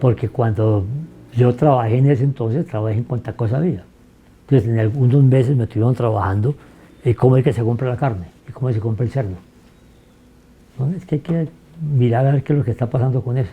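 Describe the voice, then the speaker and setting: A man's medium-pitched, somewhat breathy, dark and mellow voice at a very fast pace, broken by long, frequent pauses. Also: ordinary pitch variation. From Fresno, northern Tolima, Colombia. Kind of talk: interview answer.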